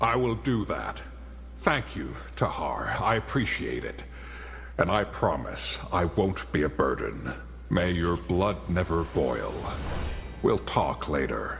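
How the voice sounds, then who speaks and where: In a put-on character voice with a very deep, low pitch, a man talks at a fairly slow pace with long, frequent pauses over clear background noise. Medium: video game. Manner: hesitant.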